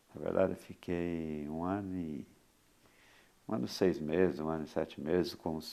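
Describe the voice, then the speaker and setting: Pausing long and often, a man talks at a moderate pace with a very deep, low pitch and fairly even intonation. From Minas Gerais, Brazil. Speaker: sports radio announcer. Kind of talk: interview answer.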